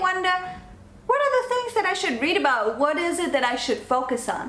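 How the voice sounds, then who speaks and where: A woman with a non-native accent speaks at a fairly quick pace in an animated tone with lively intonation. Noticeable background noise and audible room echo are present. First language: not English. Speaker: online business coach and vlogger. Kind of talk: talking-to-camera tutorial.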